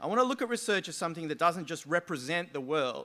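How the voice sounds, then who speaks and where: Speaking very fast in an Australian accent, a man has a bright, sharp tone. His intonation is lively. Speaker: sociology lecturer. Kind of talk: conference talk.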